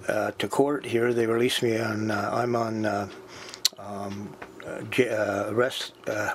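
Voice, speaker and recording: Against noticeable background noise, a man speaks at a fairly slow pace with a fairly low pitch and monotone, flat intonation. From New Brunswick, Canada. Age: 60s. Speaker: home invasion victim. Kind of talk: interview. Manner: halting.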